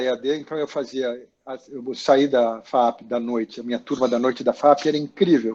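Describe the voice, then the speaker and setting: A dark, mellow tone at a moderate pace with fairly even intonation. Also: man. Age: 60s. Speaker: actor and makeup artist. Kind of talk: interview about career. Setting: video call.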